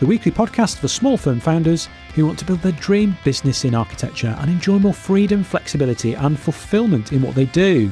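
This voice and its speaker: A fairly high-pitched man talking at a fairly quick pace with hardly any pauses, very wide pitch swings and very even loudness, music in the background. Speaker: podcast host. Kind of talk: podcast intro.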